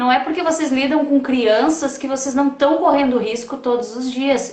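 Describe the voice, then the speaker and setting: Amid noticeable background noise and audible room echo, a woman with a slight gaúcho accent talks at a high pitch. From Rio Grande do Sul, Brazil. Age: 40s. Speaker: project founder and live host. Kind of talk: casual chat. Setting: live stream.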